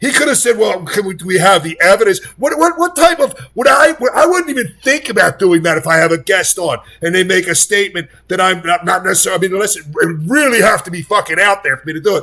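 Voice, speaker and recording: Raised and projected, a man's high-pitched voice races at a very fast pace with lively intonation. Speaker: political commentator. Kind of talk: reaction commentary. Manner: animated; loud, yelling.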